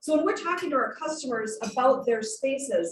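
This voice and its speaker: Loud and passionate in tone, this voice moves at a fairly quick pace with lively intonation. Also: woman. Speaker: remodeling business owner and designer. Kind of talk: club talk presentation. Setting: club meeting with audience, handheld mic, streamed online. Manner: projecting, passionate.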